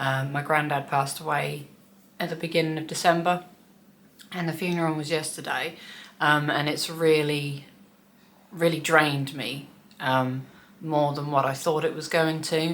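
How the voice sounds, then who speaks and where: A woman with a very deep, low voice speaks in a monotone, flat intonation at a moderate pace. She leaves long, frequent pauses, and audible room echo surrounds her. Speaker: cross stitch vlogger. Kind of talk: casual hobby vlog.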